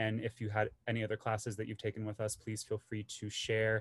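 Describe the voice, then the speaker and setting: This man talks at a fairly quick pace. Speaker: webinar host. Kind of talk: host introduction. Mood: friendly, welcoming. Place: home room. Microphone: video call.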